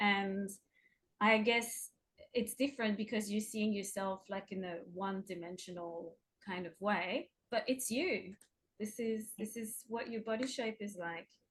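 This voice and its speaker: Speaking with a French accent, a woman sounds somewhat breathy. Her pace is fairly slow, and her pitch varies in an ordinary way. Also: medium pitch for a woman. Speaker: artist and workshop facilitator. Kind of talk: interview. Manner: casual, hesitant.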